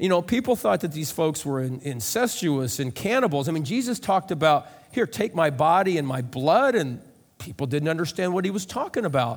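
With a Midwestern American accent, a man talks at a fairly quick pace and a fairly high pitch, his pitch swinging very widely. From US Midwest, rural central Illinois. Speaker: pastor. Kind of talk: sermon.

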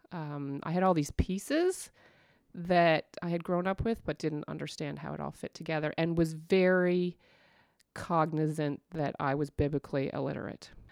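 Captured in a very clean, dry, close recording with no echo and a silent background, a woman with a central Canadian accent speaks at a moderate pace and fairly low pitch with ordinary pitch variation. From Ontario, Canada (Stouffville). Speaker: church women's ministry director. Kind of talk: casual interview.

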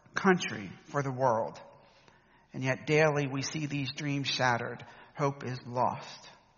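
This man speaks at a fairly slow pace in a fairly high pitch. His pitch varies in an ordinary way. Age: 50s. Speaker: preacher. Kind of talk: sermon.

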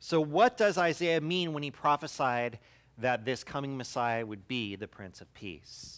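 A man speaks at a fairly slow pace in a normal speaking voice, with big swings in loudness. The recording is very clean, with a silent background. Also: fairly high pitch for a man, lively intonation. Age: 40s. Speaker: pastor. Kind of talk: sermon.

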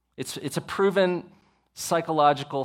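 With a Texan accent, a man talks at a moderate pace with ordinary pitch variation in a very clean recording with a silent background. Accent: Texan American. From Texas. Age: 40s. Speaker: pastor. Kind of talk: sermon. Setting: church.

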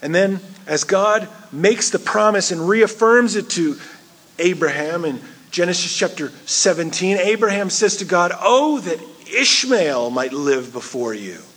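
Over noticeable background noise, a man with a high pitch speaks at a fairly slow pace with very wide pitch swings. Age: 40s. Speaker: pastor. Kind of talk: sermon.

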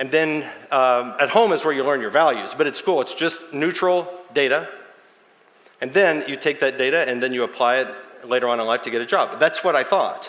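A man talks fairly quickly, his fairly high pitch moving with ordinary variation, while noticeable background noise carries on behind him. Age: 40s. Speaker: pastor. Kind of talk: sermon.

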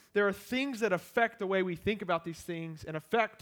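Loud and animated, a man with an American accent talks at a fairly quick pace and a high pitch, with ordinary pitch variation. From US small town. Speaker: pastor, church planter. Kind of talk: sermon. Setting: church.

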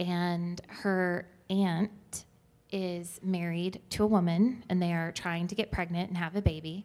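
Fairly low-pitched woman's voice, fairly slow, in a flat monotone. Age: 30s. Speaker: church member asking a question. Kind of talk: audience question at a church teaching.

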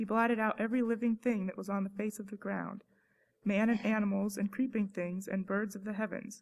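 A woman's somewhat breathy voice at medium pitch, monotone and flat in intonation, at a fairly quick pace. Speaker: student scripture reader. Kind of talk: reading aloud. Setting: church.

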